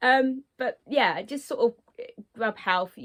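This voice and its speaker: With a British accent, a woman talks with ordinary pitch variation. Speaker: insect keeper vlogger. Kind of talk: tutorial. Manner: hesitant, many fillers.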